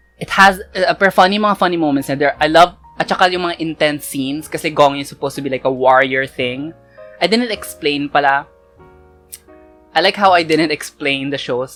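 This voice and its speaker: Music plays behind a woman with a very deep, low pitch and ordinary pitch variation. She talks at a fairly quick pace, with big swings in loudness. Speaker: K-drama reviewer. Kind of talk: casual talk to camera, review. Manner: code-switching Taglish.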